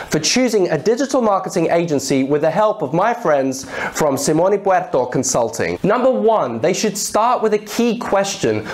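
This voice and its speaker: A man's voice with very wide pitch swings at a moderate pace. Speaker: presenter. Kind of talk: tutorial. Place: office. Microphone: lapel.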